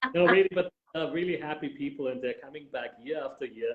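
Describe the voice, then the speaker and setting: A man with a strong Viennese accent talks fairly quickly at a high pitch, his intonation lively. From Austria, Vienna. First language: German. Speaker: tour guide. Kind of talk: interview.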